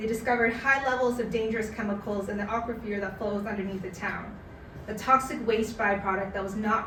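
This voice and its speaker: Over noticeable background noise, a woman speaks at a fairly quick pace with medium pitch and fairly even intonation. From Canada. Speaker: spoken word artist. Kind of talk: personal essay reading at a live community event. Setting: live event.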